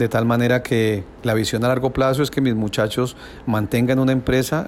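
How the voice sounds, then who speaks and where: A plain, everyday voice from a man at medium pitch, moderate pace and ordinary pitch variation. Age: 60s. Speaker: business owner. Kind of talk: interview answers.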